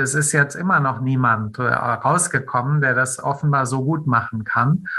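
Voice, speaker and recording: The voice has a bright, sharp tone. Its pitch varies in an ordinary way. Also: man. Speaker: film critic and podcast host. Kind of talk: interview. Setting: remote call.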